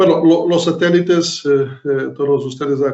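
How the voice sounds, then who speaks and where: A man with a Portuguese accent speaks at a fairly slow pace in a fairly high pitch, his intonation monotone and flat. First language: Portuguese (speaking Spanish). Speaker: professor. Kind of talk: lecture. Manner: halting, many fillers.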